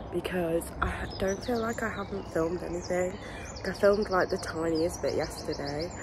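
A woman speaks at a moderate pace. The sound is dry with no echo, though background noise is noticeable. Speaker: vlogger. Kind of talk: casual vlog chat.

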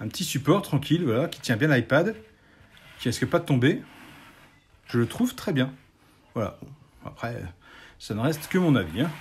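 Somewhat breathy and lively in intonation, a man with a fairly high pitch speaks with long, frequent pauses. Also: moderate pace. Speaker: YouTuber showing Lego builds; LEGO hobbyist youtuber. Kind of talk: casual tutorial. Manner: hesitant, with many fillers. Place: home room. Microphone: phone near.

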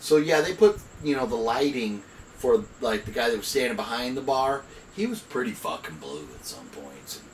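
A man's voice swings widely in loudness. Light background noise and audible room echo surround it. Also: moderate pace. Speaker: movie reviewer. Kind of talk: casual review chat. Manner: loose, tipsy rambling speech. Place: home room. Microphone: camera far.

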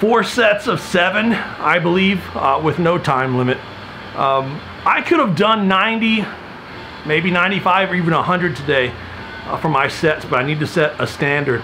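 At a moderate pace and a high pitch, a man speaks with lively intonation over music in the background. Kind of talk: casual vlog chat. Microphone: phone near.

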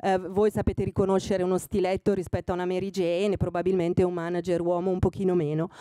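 The voice runs at a very fast pace with hardly any pauses, in a monotone, flat delivery of dark, mellow tone. The sound is dry with no echo, and the background is quiet. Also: woman. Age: 60. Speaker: fashion magazine editor speaking to students; guest. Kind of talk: talk to master's students. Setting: room with student audience. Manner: hesitant with fillers. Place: hall. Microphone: podium.

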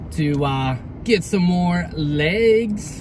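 Noticeable background noise sits under a voice with ordinary pitch variation, and the sound is dry with no echo. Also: man. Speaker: toy collector vlogger. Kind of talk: casual vlog chat. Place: car. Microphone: phone near.

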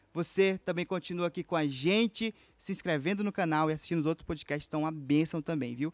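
A man talks at a fairly quick pace in an animated tone, with ordinary pitch variation and hardly any pauses. The sound is dry with no echo. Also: quiet background. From Amazonas interior, Brazil. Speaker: podcast host. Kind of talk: casual interview chat. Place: studio. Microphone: studio mic.

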